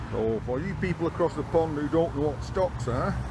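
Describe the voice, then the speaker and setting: A man talks at a fairly slow pace. The sound is dry with no echo, with noticeable background noise. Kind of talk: casual tour commentary. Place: street. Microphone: phone near.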